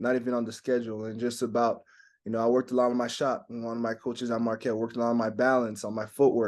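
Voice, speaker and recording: A man in a French accent at a very fast pace, medium in pitch, flat and monotone, against a quiet background. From Quebec, Montreal. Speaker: basketball player. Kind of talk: interview.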